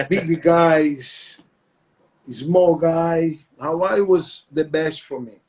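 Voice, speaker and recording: Pitched high, a man with a Brazilian accent talks with fairly even intonation. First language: Portuguese. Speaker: retired MMA fighter and jiu-jitsu instructor. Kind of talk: interview. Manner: halting.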